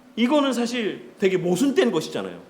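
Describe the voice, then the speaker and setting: An extremely high-pitched man's voice with ordinary pitch variation, plus audible room echo and noticeable background noise. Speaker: pastor. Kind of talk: lecture. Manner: conversational teaching with questions.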